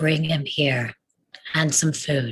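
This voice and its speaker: In a put-on character voice, a man sounds raspy and fairly high. His tone is calm, with fairly even intonation. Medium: stage play. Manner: calm, measured.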